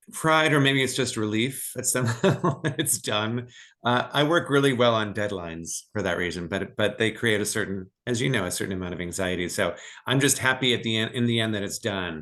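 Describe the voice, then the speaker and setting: A man's medium-pitched voice with lively intonation at a fairly quick pace, over a quiet background. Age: 60s. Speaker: novelist. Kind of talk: interview conversation. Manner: halting, repeats words.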